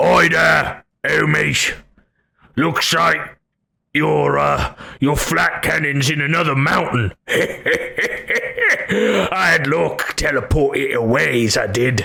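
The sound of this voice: Loud and booming, a man's put-on character voice at a fairly high pitch moves at a fairly slow pace with long, frequent pauses.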